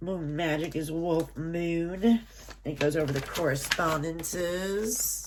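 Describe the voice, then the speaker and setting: Delivered at a very slow pace with fairly even intonation, the speech carries audible room echo and noticeable background noise. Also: woman, fairly low pitch for a woman. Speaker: unboxing YouTuber and shop owner. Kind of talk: product unboxing review.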